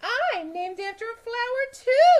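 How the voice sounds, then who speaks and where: Squeaky and extremely high, a woman's put-on character voice moves with lively intonation. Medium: read story.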